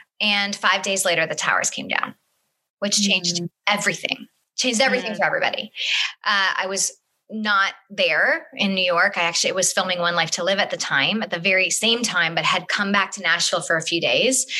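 This woman has an ordinary speaking voice at a medium pitch. She talks at a fairly quick pace with ordinary pitch variation. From Northern Ontario, Canada. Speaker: TV host and house flipper. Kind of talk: interview.

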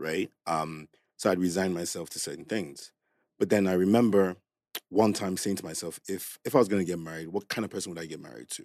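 A man with a very deep, low pitch speaks with big swings in loudness. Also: ordinary pitch variation, fairly quick pace. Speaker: podcast guest. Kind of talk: casual chat.

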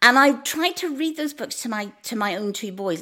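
In a Northern Irish accent, a woman talks at a moderate pace with very wide pitch swings. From Northern Ireland, small town. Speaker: food writer. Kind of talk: casual chat.

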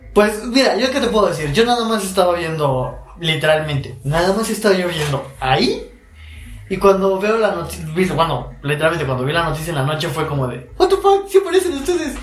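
High-pitched male voice, fairly quick with lively intonation, amid audible room echo and noticeable background noise. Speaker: podcast co-host. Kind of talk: casual chat.

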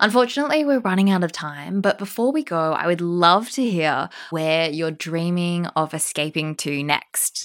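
A woman with a plain, everyday voice, fairly low in pitch, with lively intonation, a moderate pace and hardly any pauses, in a very clean recording with a silent background. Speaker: podcast host and travel journalist. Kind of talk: interview.

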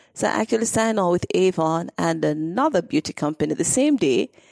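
Her pitch swings very widely, with vocal fry, as a woman talks at a fairly quick pace. The sound is dry and close, with no echo. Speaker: direct sales entrepreneur. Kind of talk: interview. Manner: talkative.

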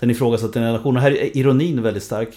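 This man's voice has a dark, mellow tone and fairly even intonation. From Sweden, Linköping. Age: 40s. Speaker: author and lecturer on generations. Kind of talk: interview.

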